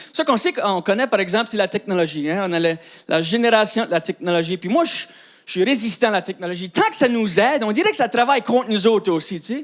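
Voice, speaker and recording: Over noticeable background noise, a man talks very fast in a high voice with lively intonation. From Acadian New Brunswick, Canada. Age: 30s. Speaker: comedian. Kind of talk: stand-up.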